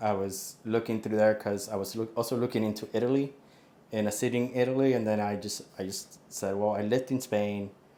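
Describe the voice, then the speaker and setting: In a Spanish accent, a man speaks with a dark, mellow tone at a fairly low pitch and with fairly even intonation. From Puerto Rico and Miami. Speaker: expat property buyer. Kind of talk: casual interview. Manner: casual, with fillers and restarts.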